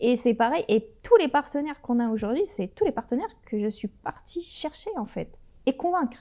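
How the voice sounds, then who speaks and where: Her voice is high-pitched yet dark and mellow in tone, and this woman speaks at a moderate pace with very wide pitch swings. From Brittany, France, after early childhood in Algeria. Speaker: entrepreneur and sports manager. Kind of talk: interview. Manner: animated.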